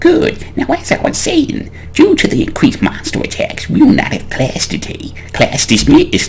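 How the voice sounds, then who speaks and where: A man does a gruff, put-on character voice at a moderate pace with hardly any pauses. Clear background noise runs behind him. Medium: game stream.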